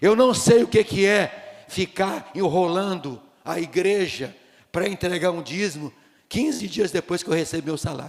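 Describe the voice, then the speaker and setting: Animated in tone, a man with a high pitch talks at a fairly slow pace with ordinary pitch variation. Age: 60s. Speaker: pastor. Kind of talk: sermon.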